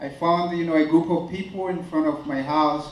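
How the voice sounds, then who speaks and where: Noticeable background noise is present throughout. The talking keeps a moderate pace. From Burundi. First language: French. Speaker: runner and refugee speaker. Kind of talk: motivational speech. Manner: halting, many fillers.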